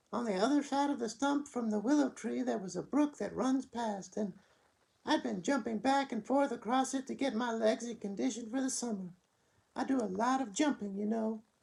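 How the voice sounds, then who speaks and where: A put-on character voice sits at a fairly high pitch, sing-song and gentle in tone. The pace is moderate. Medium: read story. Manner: sing-song, gentle.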